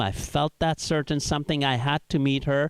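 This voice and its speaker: Recorded very cleanly against a silent background, a man with a fairly high pitch and a slight Iraqi accent talks at a moderate pace in a dry, close sound with no echo. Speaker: stand-up comedian. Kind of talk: stand-up. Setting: stage with audience.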